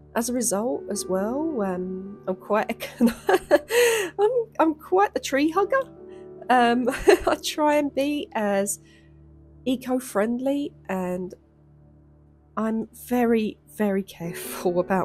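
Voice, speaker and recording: A woman at a fairly high pitch with very wide pitch swings, a very slow pace and long, frequent pauses, with music in the background. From London. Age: 30s. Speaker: artist. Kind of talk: casual voiceover.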